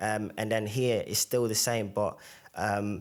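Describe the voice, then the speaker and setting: A man with a Zimbabwean accent at medium pitch, fairly slow in pace, with fairly even intonation. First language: Shona. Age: young. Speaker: podcast guest. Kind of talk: casual interview. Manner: hesitant, many fillers.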